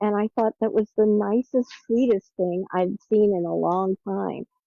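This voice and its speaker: A woman with an American accent speaks at a moderate pace in an unremarkable speaking voice, her pitch varying in an ordinary way. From US South. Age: 60s. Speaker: caller. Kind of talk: testimony.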